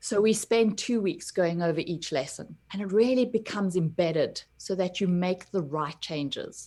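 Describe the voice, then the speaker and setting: A woman with a dark, mellow tone talks with hardly any pauses. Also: medium pitch for a woman, ordinary pitch variation, moderate pace. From South Africa. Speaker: personal development coach. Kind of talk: interview chat.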